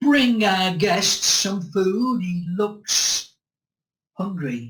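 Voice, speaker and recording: Put-on character voice, middle in pitch, at a very slow pace. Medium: read story. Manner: hospitable, calm.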